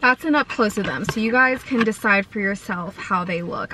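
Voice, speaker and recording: There is light background noise. A woman talks through it. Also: dry sound with no echo. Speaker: food vlogger. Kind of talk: casual vlog chat. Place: car. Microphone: phone near.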